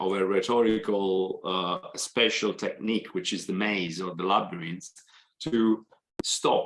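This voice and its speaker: This man has a fairly low pitch and an Italian accent. He speaks fairly slowly, with ordinary pitch variation. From Italy. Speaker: accounting professor. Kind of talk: Q&A answer in online seminar. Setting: video call. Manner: hesitant, many fillers.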